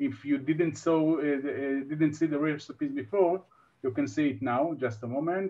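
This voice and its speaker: With an Israeli accent, a man talks at a moderate pace in a fairly high pitch with ordinary pitch variation. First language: Hebrew. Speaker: online workshop host. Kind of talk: live online workshop hosting. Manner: halting, many fillers.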